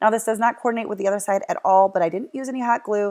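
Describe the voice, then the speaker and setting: A woman's medium-pitched voice on a very clean recording with a silent background. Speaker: craft YouTuber. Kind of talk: tutorial. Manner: fast; casual, with fillers and self-corrections.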